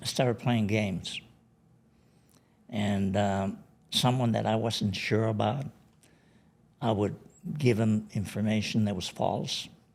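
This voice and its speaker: A man with a Spanish accent and a fairly low voice speaks very slowly, leaving long, frequent pauses. His intonation is fairly even, and audible room echo fills the recording. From Bolivia. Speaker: retired drug enforcement agent. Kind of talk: live Q&A. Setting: stage with audience.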